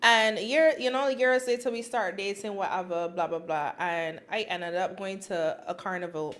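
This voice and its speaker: In an animated tone, a woman speaks at a moderate pace. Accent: Barbadian. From Barbados. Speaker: podcast co-host. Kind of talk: casual chat.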